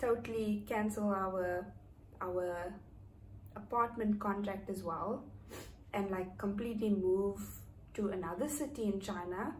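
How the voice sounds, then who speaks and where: Somewhat breathy speech, broken by long, frequent pauses, carries audible room echo. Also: woman, medium pitch for a woman, ordinary pitch variation, fairly slow pace. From South Africa, East London. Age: 30s. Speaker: vlogger. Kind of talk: casual chat. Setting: indoors, raining outside.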